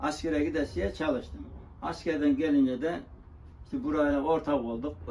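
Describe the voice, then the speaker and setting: There is audible room echo as a man with a fairly high pitch speaks with lively intonation. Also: moderate pace. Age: 70s. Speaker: tinsmith and coppersmith craftsman. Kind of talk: interview. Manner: halting.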